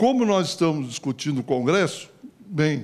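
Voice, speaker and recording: A man speaks with a normal speaking voice and lively intonation. His pace is fairly slow. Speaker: party politician on panel. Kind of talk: panel talk.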